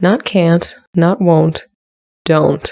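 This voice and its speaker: Someone puts on a character voice at a middle pitch. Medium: read story. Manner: careful.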